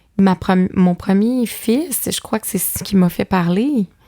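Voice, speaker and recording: A woman with a medium-pitched, dark, mellow tone shows ordinary pitch variation, recorded with a dry, close sound and no echo. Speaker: author and mother of five. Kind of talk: podcast interview. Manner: loud; animated.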